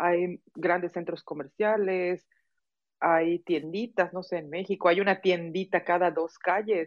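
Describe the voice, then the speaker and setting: A fairly low-pitched woman, monotone and flat, at a fairly slow pace. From Mexico, Yucatán (Mérida). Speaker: podcast host. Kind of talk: casual interview.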